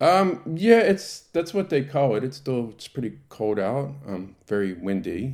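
A man with a Baltimore accent and a medium pitch talks at a fairly slow pace with hardly any pauses. His voice makes very wide pitch swings and big swings in loudness on a very clean recording with a silent background. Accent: American, Baltimore. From US, Baltimore. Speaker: president of a synagogue congregation. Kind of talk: interview. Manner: halting, many fillers.

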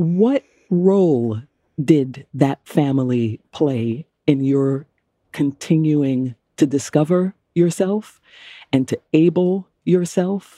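A woman speaks very slowly in a very deep, low pitch with a dark, mellow tone. Her intonation is lively, and the sound is dry and close with no echo. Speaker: podcast host. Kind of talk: interview conversation.

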